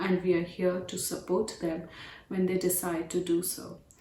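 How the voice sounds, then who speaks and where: In an Indian accent, a woman with a fairly low pitch speaks at a moderate pace amid noticeable background noise and audible room echo. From India, New Delhi. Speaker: domestic violence advocate, operations manager. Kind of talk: prepared remarks.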